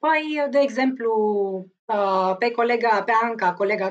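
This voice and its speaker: A woman with a plain, everyday voice speaks fairly slowly, her intonation lively. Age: 30s. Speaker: lawyer. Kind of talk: interview.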